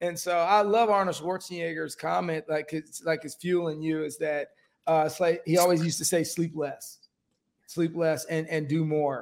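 This man's pitch sits fairly high. His pace is moderate. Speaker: podcast host. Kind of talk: casual interview. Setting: studio. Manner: animated.

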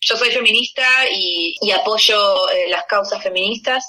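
A woman speaking at a very slow pace. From Argentina, Buenos Aires. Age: 30s. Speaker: musician. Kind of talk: interview.

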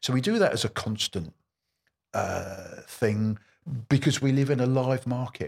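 In an English accent, a man speaks with a somewhat breathy voice in a dry, close recording with no echo. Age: 60s. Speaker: mortgage broker. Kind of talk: interview. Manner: repeats words when speaking.

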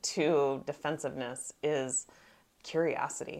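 On a very clean recording with a silent background, a woman speaks fairly slowly with a very deep, low pitch and ordinary pitch variation. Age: 50s. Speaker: podcast co-host, life coach. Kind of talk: casual chat.

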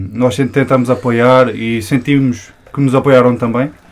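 A man speaks at a fairly slow pace in a normal speaking voice. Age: 20s. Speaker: hip-hop media creator. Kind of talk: casual chat.

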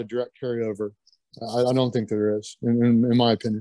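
In a Kentucky accent, a man talks at a fairly quick pace. His voice is medium in pitch, with a dark, mellow tone. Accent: US Southern (Kentucky). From Kentucky (Lexington). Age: 50s. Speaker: strength athlete. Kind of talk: casual interview chat.

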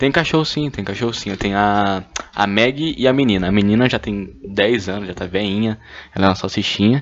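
Fairly low pitch from a man, fairly quick in pace, with ordinary pitch variation. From Brazil, Goiânia. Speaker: podcaster. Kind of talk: casual solo monologue. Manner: animated.

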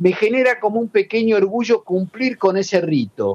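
The pace is moderate. The sound is dry and close, with no echo. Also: man. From Argentina, La Plata area (Berisso). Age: 60s. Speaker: journalist and writer. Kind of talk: interview.

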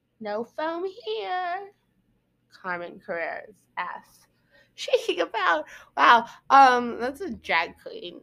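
A woman's raised, projected voice rings high-pitched and bright, with a sharp tone and very wide pitch swings. She speaks at a very slow pace, with long, frequent pauses. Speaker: podcast host. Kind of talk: casual monologue. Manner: rambling, filler-heavy.

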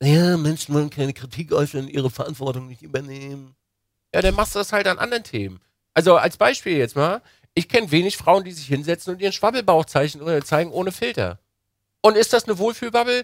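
In a very clean recording with a silent background, a high-voiced man speaks fairly fast in an animated tone, his intonation lively and his loudness swinging widely. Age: 30s. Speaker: podcast co-host. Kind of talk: casual chat.

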